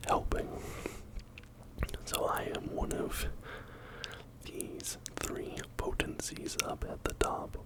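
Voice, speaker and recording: Whispering at a very slow pace with long, frequent pauses, a man speaks over noticeable background noise. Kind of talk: ASMR whispering video. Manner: whispered, soft-spoken.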